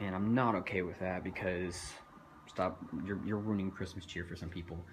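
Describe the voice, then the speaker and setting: In a room with audible echo, a man with a very deep, low voice talks at a fairly quick pace with monotone, flat intonation. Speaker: home light display owner. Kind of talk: casual video tour. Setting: outdoors early morning, then indoors. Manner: fast.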